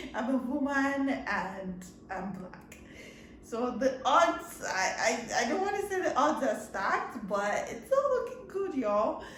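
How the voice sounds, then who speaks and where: At a fairly slow pace, a woman speaks in a high pitch with very wide swings, amid noticeable background noise and audible room echo. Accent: Nigerian. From Nigeria. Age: young. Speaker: podcast host. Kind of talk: casual chat.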